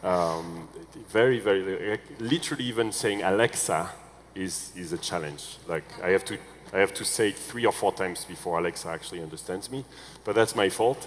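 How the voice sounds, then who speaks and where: A man with a French accent and fairly low pitch speaks at a fairly quick pace with ordinary pitch variation over noticeable background noise. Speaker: panel moderator, tech entrepreneur. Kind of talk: panel discussion. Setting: stage with audience.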